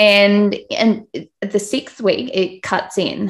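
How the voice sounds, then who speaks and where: A woman with an Australian accent. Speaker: podcast host and business owner. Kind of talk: interview.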